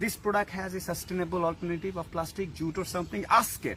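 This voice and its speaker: With a Bengali accent, a man talks at a fairly quick pace in a high-pitched voice with a bright, sharp tone. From Bangladesh. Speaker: social media influencer. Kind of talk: direct-to-camera video address. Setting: outdoors. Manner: animated.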